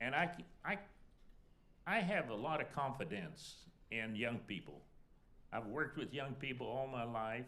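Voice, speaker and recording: With a bright, sharp tone and lively intonation, a man speaks at medium pitch and a fairly slow pace amid audible room echo. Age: 80s+. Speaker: alumni panelist. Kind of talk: panel discussion. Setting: stage with audience.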